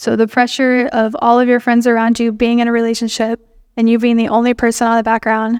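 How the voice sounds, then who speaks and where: In a very clean recording with a silent background and a dry, close sound with no echo, a woman speaks very fast in a high voice. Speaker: youth group speaker. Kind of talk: sermon.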